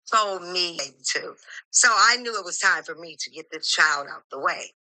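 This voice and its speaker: Her voice is bright and sharp, with a medium pitch, ordinary pitch variation and a fairly slow pace. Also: long, frequent pauses, big swings in loudness. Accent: American. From Michigan. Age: 60s. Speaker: caller. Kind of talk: testimony. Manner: animated.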